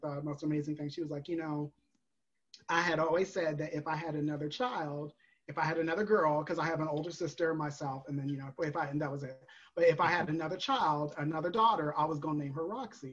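A woman's very deep, low-pitched voice at a very fast pace. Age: 30s. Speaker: drag performer and virtual bingo host. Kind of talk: casual chat. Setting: video call. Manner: animated.

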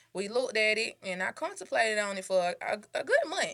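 A woman's unremarkable speaking voice, medium in pitch, at a fairly quick pace. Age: 20s. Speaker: boutique owner. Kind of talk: casual interview. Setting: in her store.

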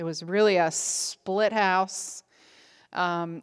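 A woman speaks in an ordinary speaking voice at a medium pitch with fairly even intonation. The recording is very clean, with a silent background. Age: 60s. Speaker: women's ministry speaker. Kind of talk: conference talk.

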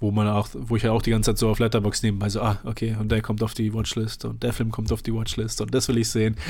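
On a very clean recording with a silent background, a man speaks at a very fast pace and a fairly low pitch in a monotone, flat intonation. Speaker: film podcast host. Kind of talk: casual chat.

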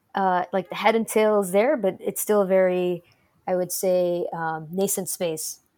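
A woman with an American accent and an unremarkable speaking voice talks at a medium pitch and a fairly slow pace with fairly even intonation, in a very clean recording with a silent background. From Detroit, Michigan, US. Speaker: tech startup co-founder. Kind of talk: interview.

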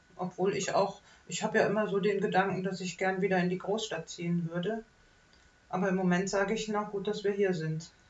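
Noticeable background noise behind a woman at medium pitch, fairly quick in pace, with monotone, flat intonation. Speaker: podcast host. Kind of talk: casual chat.

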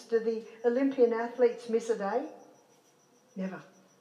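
A woman's fairly high voice rings with audible room echo. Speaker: health educator. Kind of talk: lecture.

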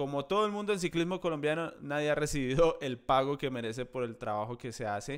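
A man speaks at a moderate pace in a plain, everyday voice, pitched fairly high. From Colombia, Llanos Orientales. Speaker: cycling journalist and podcast host. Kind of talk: casual chat. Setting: video call.

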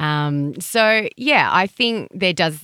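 With lively intonation, a woman talks in an Australian accent. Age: 40s. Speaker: sex educator. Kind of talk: interview.

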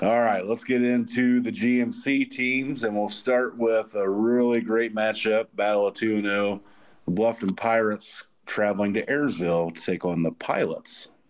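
A man's plain, everyday voice at a medium pitch, with fairly even intonation, a fairly slow pace and very even loudness. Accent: American. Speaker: podcast host. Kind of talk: casual sports podcast chat.

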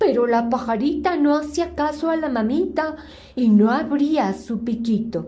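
A woman speaks fairly slowly in a high-pitched voice with a gentle, dark, mellow tone. Her pitch varies in an ordinary way. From Mexico City. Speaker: storyteller, reciter. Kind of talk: bedtime story telling, reading aloud. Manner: soft, sweet, gentle, childlike diminutives.

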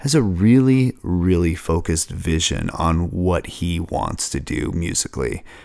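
An American accent at a fairly slow pace, with very wide pitch swings. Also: man. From Seattle, US. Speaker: podcast host.

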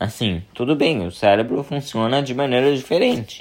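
A man talks with ordinary pitch variation. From Brazil, São Paulo. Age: 20s. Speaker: podcast host. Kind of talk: personal monologue. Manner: halting, many fillers.

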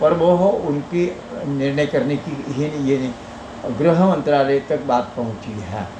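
Here a man speaks at a fairly high pitch with ordinary pitch variation. Noticeable background noise and audible room echo fill the recording. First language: Marathi (speaking Hindi). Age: 80s+. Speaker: retired teacher and social worker. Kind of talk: interview. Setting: wellness clinic.

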